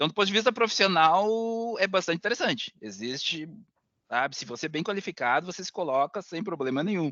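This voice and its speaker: With a high pitch and very wide pitch swings, a man talks at a fairly quick pace. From southern Brazil (Rio Grande do Sul). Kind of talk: interview answer.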